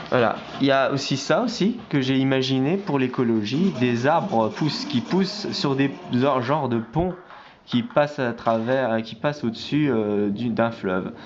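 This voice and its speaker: Against noticeable background noise, a man speaks at a fairly slow pace with lively intonation. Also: medium pitch for a man. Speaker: amateur artist. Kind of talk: casual vlog presenting artworks. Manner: halting, many fillers and restarts.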